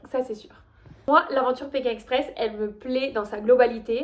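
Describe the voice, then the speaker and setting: Her intonation fairly even, a woman with a slight Toulouse accent speaks at a high pitch. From Toulouse, France. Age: 20s. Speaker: high-level kayak athlete. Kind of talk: casual talk to camera, casting video.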